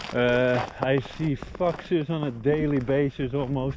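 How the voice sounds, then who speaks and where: A man with a fairly high pitch keeps his intonation fairly even while noticeable background noise carries on. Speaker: homesteader. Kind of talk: casual vlog narration. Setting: outdoors. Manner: loud.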